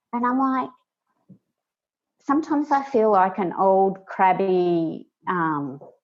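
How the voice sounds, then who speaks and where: Speaking at a very slow pace, a woman uses very wide pitch swings and takes long, frequent pauses. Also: medium pitch for a woman. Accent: Australian. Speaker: project manager and instructional designer. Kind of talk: casual interview.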